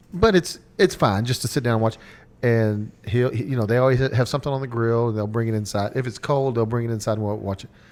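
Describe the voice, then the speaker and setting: A man with a medium-pitched voice speaks at a very fast pace in an animated tone, with ordinary pitch variation. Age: 40s. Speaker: podcast co-host. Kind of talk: casual chat. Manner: animated, stammering.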